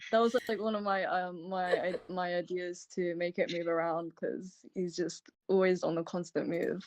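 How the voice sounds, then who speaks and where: Speaking with a British accent, a woman holds a fairly low pitch in a monotone, flat delivery at a moderate pace. The background is quiet. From UK. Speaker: ritual co-host. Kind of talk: livestream ritual presentation. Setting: online livestream.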